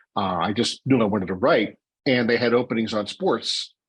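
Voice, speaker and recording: A man with a Pittsburgh accent talks over a quiet background. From Pittsburgh, north side. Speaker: baseball beat writer. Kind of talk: podcast interview. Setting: podcast.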